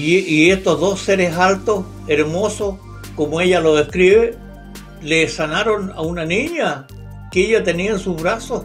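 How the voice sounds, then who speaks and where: Faint music plays behind a man speaking with a Chilean accent at a fairly slow pace. His pitch is high, with ordinary variation. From Concepción, Chile. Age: 80s+. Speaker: UFO researcher, retired police officer. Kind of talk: interview answer. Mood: calm, storytelling. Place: home room. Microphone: video call.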